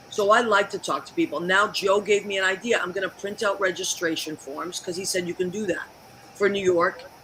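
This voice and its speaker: The speech moves at a fairly quick pace. Noticeable background noise runs underneath. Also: woman, medium pitch for a woman. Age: 60s. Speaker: talk show host. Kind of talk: casual chat. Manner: animated.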